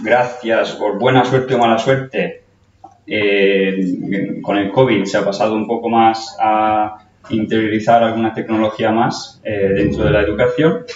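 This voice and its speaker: At a fairly slow pace, a man with a medium pitch and fairly even intonation speaks amid audible room echo. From Italy. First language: Italian (speaking Spanish). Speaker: nursing educator. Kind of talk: conference talk. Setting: stage with audience. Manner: halting, with fillers.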